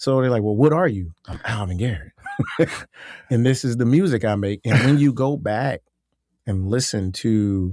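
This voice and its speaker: With an American accent and a medium pitch, a man speaks at a moderate pace with ordinary pitch variation and long, frequent pauses, the sound dry and close with no echo. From US South. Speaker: singer-songwriter. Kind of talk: casual chat. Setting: studio.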